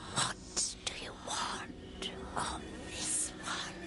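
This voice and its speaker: A whispered, cartoonish character voice. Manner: halting, speaks of self as this one.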